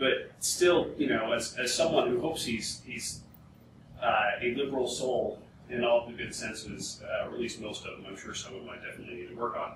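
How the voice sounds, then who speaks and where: A man speaks with audible room echo. Noticeable background noise is also present. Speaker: panelist. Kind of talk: panel discussion. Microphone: camera far.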